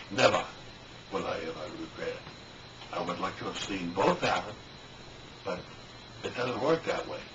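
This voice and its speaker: Audible room echo and noticeable background noise surround a man who speaks with long, frequent pauses. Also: moderate pace. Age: 60s. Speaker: retired musician and clock repairer. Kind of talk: personal reminiscence to camera. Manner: halting, with many fillers and repetitions.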